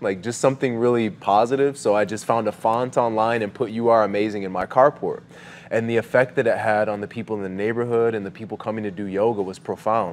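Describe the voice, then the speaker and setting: Very fast speech in an American accent with fairly even intonation. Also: man. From New York. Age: 40s. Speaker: mural artist. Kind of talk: casual chat. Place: studio.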